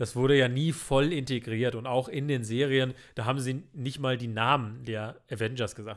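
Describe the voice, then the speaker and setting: Moderate pacing from a man at medium pitch on a very clean recording with a silent background. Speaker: film podcast co-host. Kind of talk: casual chat. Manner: animated.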